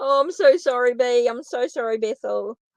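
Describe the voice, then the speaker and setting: A woman talks in a New Zealand accent with a high pitch. She keeps a moderate pace. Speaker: tarot reader. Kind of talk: live stream tarot reading and chat with viewers. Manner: casual, repetitive.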